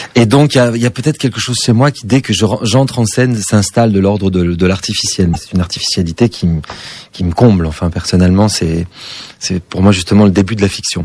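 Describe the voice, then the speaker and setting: A man talks very fast at a fairly low pitch with ordinary pitch variation, against noticeable background noise. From southwest France. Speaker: stage actor. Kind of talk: radio interview. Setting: radio studio. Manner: precise, distinctive diction.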